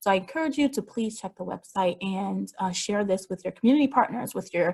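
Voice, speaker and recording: A woman is speaking. Her voice has a somewhat breathy quality. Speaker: health advocacy speaker. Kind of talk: webinar presentation. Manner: fast.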